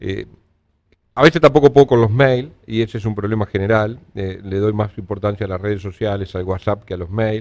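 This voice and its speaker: In a normal speaking voice, a man talks at a fairly quick pace with a fairly low pitch and ordinary pitch variation. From Uruguay. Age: 60s. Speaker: politician. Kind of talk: interview.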